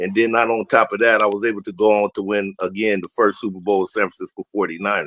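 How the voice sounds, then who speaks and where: A man with an American accent speaks at a fairly low pitch in a flat monotone, the sound dry and close with no echo. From Southeast San Diego, California. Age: 60s. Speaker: former NFL player and high school football coach. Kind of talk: casual talk show chat.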